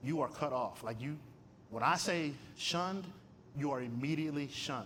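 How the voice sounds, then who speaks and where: A man's fairly high voice in an animated tone, with audible room echo. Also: ordinary pitch variation, moderate pace. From Michigan. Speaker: theology professor and guest speaker. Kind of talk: testimony talk at a luncheon. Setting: luncheon with live audience. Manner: animated, conversational.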